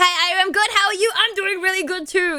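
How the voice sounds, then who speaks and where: Noticeable noise hums behind speech that moves at a fairly quick pace. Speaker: streamer. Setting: live stream, reading chat. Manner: fast talker, runs sentences together; fast talker, speaks without pauses.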